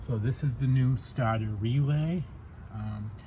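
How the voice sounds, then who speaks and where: A man speaks at a fairly slow pace in a dark, mellow tone, his medium-pitched voice somewhat breathy and his pitch varying in an ordinary way. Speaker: amateur car mechanic, channel owner. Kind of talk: tutorial. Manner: stuttering.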